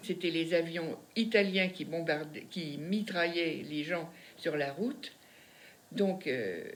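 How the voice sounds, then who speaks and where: A woman's fairly low voice at a very slow pace, with ordinary pitch variation and audible room echo. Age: 90s. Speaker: elderly woman recalling wartime childhood. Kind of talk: interview testimony.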